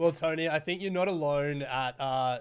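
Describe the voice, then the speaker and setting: Here a man is talking. His Australian accent is strong. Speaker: podcast host. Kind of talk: interview.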